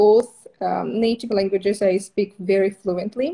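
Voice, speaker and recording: With an Eastern European accent, a woman speaks fairly slowly at a medium pitch and with ordinary pitch variation. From Moldova. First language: Russian. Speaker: permanent makeup trainer. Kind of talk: casual interview.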